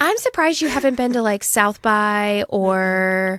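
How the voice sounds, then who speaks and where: Lively intonation marks this voice with a Midwestern accent, recorded very cleanly over a silent background. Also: woman. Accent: non-regionally specific Midwestern. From US Midwest. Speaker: podcast co-host. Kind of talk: casual chat.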